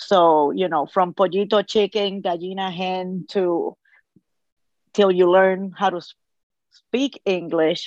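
In a quiet background, a woman with a strong Puerto Rican accent speaks very slowly at a medium pitch, with fairly even intonation and long, frequent pauses. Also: dry, close sound with no echo. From Puerto Rico. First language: Spanish. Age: 50s. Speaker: Spanish teacher. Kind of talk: casual interview. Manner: cheerful, laughs easily.

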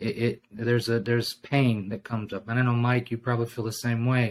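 At a moderate pace, a man talks in an ordinary speaking voice with a medium pitch. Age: 40s. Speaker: former missionary. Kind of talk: casual interview.

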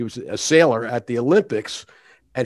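Over a quiet background, an ordinary speaking voice with an American accent moves at a fairly quick pace with ordinary pitch variation. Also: man. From Philadelphia. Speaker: retired judge and arbitrator. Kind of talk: interview.

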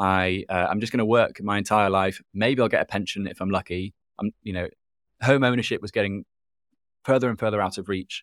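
In a British accent, a man talks at a fairly quick pace with fairly low pitch and fairly even intonation. The sound is dry and close with no echo, on a very clean recording with a silent background. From UK. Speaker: documentary filmmaker and Bitcoin advocate. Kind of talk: interview. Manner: hesitant with fillers.

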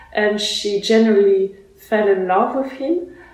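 A woman's fairly even intonation comes through noticeable background noise and audible room echo. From France, born in Russia. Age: young. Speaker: Renaissance fiddle player. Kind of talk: interview. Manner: halting, many fillers.

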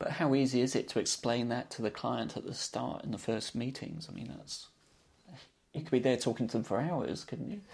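A man speaks at a fairly quick pace. His voice carries vocal fry. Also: medium pitch for a man, ordinary pitch variation, very clean recording, silent background. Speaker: podcast host. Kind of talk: scripted intro and moderated interview.

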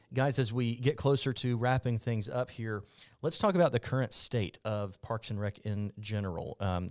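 A man with an ordinary speaking voice talks at a moderate pace with fairly even intonation, in a very clean recording with a silent background and dry, close sound with no echo. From Mobile, Alabama (US South). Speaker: podcast host and journalist. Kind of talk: interview.

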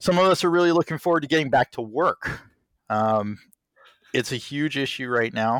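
A man speaks in an unremarkable speaking voice, fairly high in pitch and with lively intonation. The recording is very clean, with a silent background. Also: moderate pace, dry, close sound with no echo. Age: 30s. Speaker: podcast co-host, theater technician. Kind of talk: casual chat.

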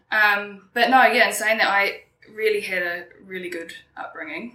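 A woman speaks with a New Zealand accent at a moderate pace. There is audible room echo. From New Zealand, Kapiti Coast. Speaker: interview guest. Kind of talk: casual interview.

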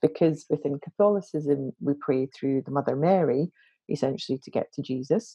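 In a Glaswegian accent, a woman talks with a very deep, low pitch. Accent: Glaswegian Scottish. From Scotland, Glasgow. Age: 40s. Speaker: interfaith minister. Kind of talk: casual interview conversation.

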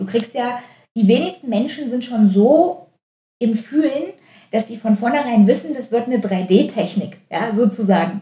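At a fairly slow pace, a woman speaks with a dark, mellow tone and a fairly high pitch, her intonation lively and her loudness swinging widely. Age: 30s. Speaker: physiotherapist and osteopath. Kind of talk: casual chat.

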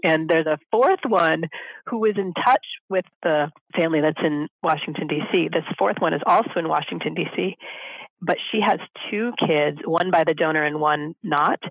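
A woman with an ordinary speaking voice and a fairly low pitch talks at a moderate pace. Her loudness is very even, with ordinary pitch variation. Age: 40s. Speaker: single mother by choice. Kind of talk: interview.

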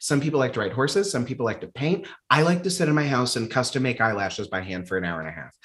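Using vocal fry and very wide pitch swings, a man with an American accent speaks in an animated tone. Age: 20s. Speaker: comedian and trained classical singer. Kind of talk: casual chat.

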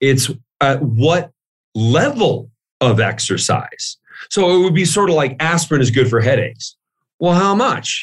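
Somewhat breathy and fairly high-pitched, a man talks at a fairly slow pace with lively intonation, very even loudness, and long, frequent pauses. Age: 40s. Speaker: author and fitness researcher. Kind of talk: interview.

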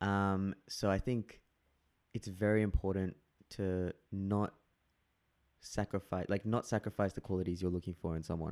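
In an Australian accent, a man with a fairly low pitch speaks at a moderate pace in a monotone, flat intonation with long, frequent pauses, the sound dry and close with no echo. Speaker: guest. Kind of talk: casual chat.

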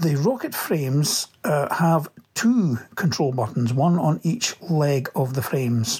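This man has a Scottish accent and a fairly high pitch, with lively intonation. He talks very slowly at a very even loudness over noticeable background noise. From Scotland, Livingston. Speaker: listener sending a product review. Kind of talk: recorded product review.

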